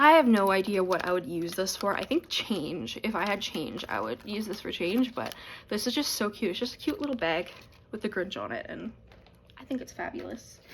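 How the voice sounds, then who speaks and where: At a moderate pace, a woman with a medium pitch and vocal fry moves through very wide pitch swings. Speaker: beauty YouTuber. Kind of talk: product unboxing review. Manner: casual, chatty.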